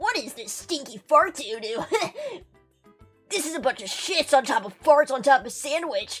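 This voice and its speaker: A put-on character voice moves at a moderate pace. Faint music plays in the background. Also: female-sounding voice, high pitch for a woman. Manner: goofy, silly.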